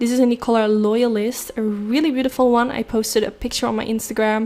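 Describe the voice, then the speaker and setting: A woman talks at a very fast pace with a fairly high voice. Her intonation is flat and monotone. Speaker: beauty vlogger. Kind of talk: makeup tutorial voiceover.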